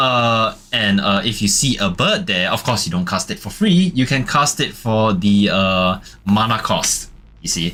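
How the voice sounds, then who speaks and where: Over music in the background, a man at medium pitch talks at a very slow pace with lively intonation. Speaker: VTuber streamer. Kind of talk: casual card unboxing stream. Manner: halting, many filler words.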